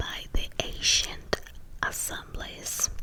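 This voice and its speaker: Someone whispers at a very slow pace while noticeable background noise runs underneath. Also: woman. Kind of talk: whispered reading of history text for relaxation. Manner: whispered, soft.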